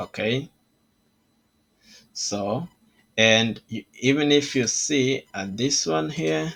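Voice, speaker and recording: Music plays behind a man with a non-native accent who talks at a very slow pace, leaving long, frequent pauses. His pitch swings very widely. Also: medium pitch for a man. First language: not English. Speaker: trading educator. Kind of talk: tutorial. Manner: halting.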